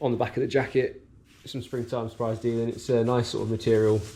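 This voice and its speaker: Dark and mellow in tone, a man's somewhat breathy voice sits at medium pitch. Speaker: running vlogger. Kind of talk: casual vlog narration. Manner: hesitant, many fillers.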